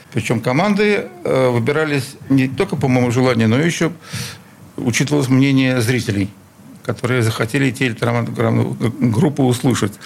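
Lively intonation marks this man's speech, delivered at very even loudness with noticeable background noise behind him. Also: medium pitch for a man, moderate pace. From Sызрань, Volga region, Russia; raised in Leningrad from age 8. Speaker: concert promoter. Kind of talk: interview. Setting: radio studio.

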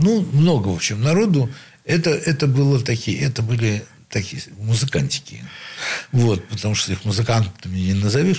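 A somewhat breathy man speaks with lively intonation. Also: medium pitch for a man, moderate pace. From Leningrad, Russia. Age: old. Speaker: saxophonist. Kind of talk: interview reminiscence.

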